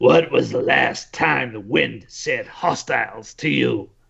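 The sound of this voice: A man talks in a put-on character voice, gruff in tone. His delivery comes at a fairly slow pace.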